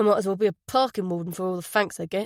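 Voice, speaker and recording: In a put-on character voice with a rumbling sound, a woman speaks at a very fast pace with a medium pitch and fairly even intonation, in a dry, close sound with no echo. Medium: read story. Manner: grumbling, irritable.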